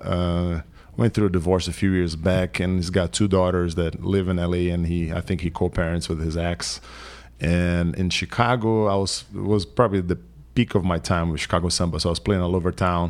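A man with a Portuguese accent, very deep and low in pitch, with fairly even intonation and a fairly quick pace. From Brazil, São Paulo. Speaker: musician. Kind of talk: casual chat.

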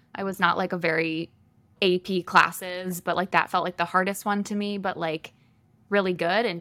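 A woman speaks in a normal speaking voice with an American accent and fairly even intonation. The recording is very clean, with a silent background. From Michigan. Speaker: holistic wellness coach. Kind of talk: casual interview chat.

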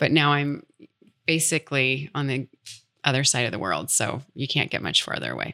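With a Midwestern American accent, a woman speaks at a moderate pace in a very deep, low pitch, with a bright, sharp tone, vocal fry and fairly even intonation, in a very clean, dry, close recording with a silent background and no echo. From US Midwest. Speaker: speech pathologist. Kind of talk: casual interview.

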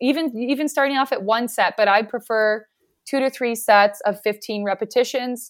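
A woman with a Canadian accent has a plain, everyday voice at a fairly high pitch, with ordinary pitch variation and a moderate pace. The recording is very clean, with a silent background. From Regina, Saskatchewan, Canada. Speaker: physiotherapist. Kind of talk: casual interview chat.

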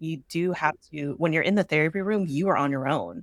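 A woman speaks with an American accent at a moderate pace. Her fairly low voice shows ordinary pitch variation. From San Francisco Bay Area, California. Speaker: therapist and business owner. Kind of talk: interview conversation.

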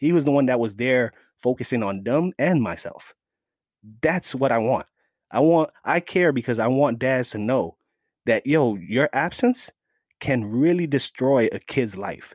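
A man with a New York accent at medium pitch, at a fairly slow pace, in a dry, close sound with no echo and a very clean recording with a silent background. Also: ordinary pitch variation. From New York City, the Bronx. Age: 40s. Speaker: fatherhood advocate. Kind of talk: casual chat. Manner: animated.

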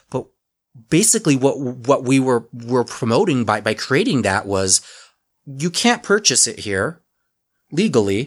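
A man speaks at a moderate pace and a medium pitch, with an American accent and very wide pitch swings. The recording is very clean, with a silent background. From Utah. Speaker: cannabis pharmacy owner. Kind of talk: podcast interview.

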